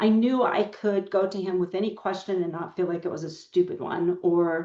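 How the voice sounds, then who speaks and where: Over noticeable background noise, the voice moves at a moderate pace with fairly even intonation. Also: woman, medium pitch for a woman. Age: 60s. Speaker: paralegal. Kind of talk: podcast interview.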